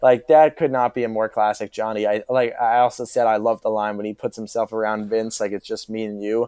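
Speaking fairly quickly with hardly any pauses, a man uses a medium pitch and a dark, mellow tone in a monotone, flat intonation, with a dry, close sound, no echo and a quiet background. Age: 20s. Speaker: podcast guest, TV fan. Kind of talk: casual chat.

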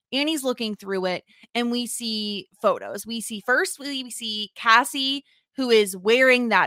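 On a very clean recording with a silent background, a woman speaks fairly slowly at a fairly high pitch, her bright, sharp tone showing ordinary pitch variation. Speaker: podcast host. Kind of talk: casual chat. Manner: loud.

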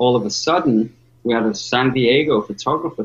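A man talks with a Liverpool accent at a medium pitch. His pace is moderate and his voice somewhat breathy. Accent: Liverpool English, gravelly. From Liverpool, northwest England. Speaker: professional skateboarder. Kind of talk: casual interview chat. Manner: halting, many fillers.

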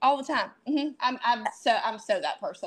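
Against a quiet background, a woman is speaking. She talks at a fairly quick pace. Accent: strong Southern US. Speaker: epilepsy advocate. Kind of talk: casual chat.

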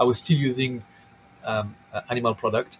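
A man with a French accent and a medium pitch speaks over noticeable background noise. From southern France. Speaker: chef and restaurant owner. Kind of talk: interview. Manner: halting, many repeated words.

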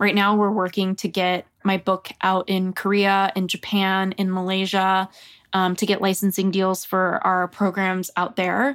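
A woman's normal speaking voice at medium pitch and a moderate pace, in a very clean, dry, close recording with a silent background and no echo. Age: 30s. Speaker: career coach and author. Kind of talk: casual chat.

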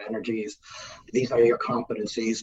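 This man's voice carries a somewhat breathy quality. He speaks neither fast nor slow. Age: 60s. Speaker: business executive and author. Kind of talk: interview.

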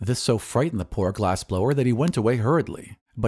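Lively intonation in an unforced reading voice, the background quiet.

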